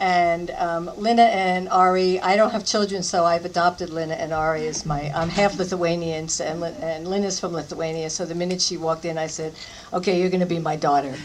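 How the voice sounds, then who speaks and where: Over noticeable background noise, a woman with a fairly low pitch speaks at a fairly quick pace with fairly even intonation and hardly any pauses. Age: 60s. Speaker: style icon. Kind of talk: panel Q&A after screening.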